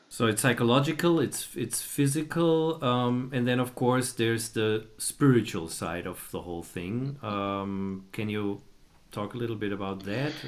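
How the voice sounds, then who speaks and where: Speaking at a fairly slow pace, a man uses a medium pitch and lively intonation. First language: German. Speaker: podcast host. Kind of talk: casual chat.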